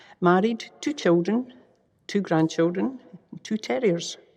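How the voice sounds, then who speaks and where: A woman with a west of Scotland accent talks at a fairly low pitch with lively intonation. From Scotland, Greenock. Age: 60s. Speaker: volunteer, retired health worker. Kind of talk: interview testimony.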